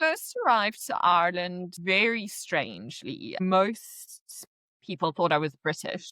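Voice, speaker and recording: A woman with a South African accent at a very slow pace, in a dry, close sound with no echo. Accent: South African accent, still noticeable. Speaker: podcast guest, expat. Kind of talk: casual chat. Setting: call.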